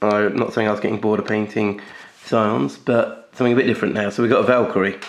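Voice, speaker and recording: There's vocal fry as a man talks at a fairly quick pace. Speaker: miniature painting YouTuber. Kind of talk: hobby tutorial video. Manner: casual, hesitant with fillers.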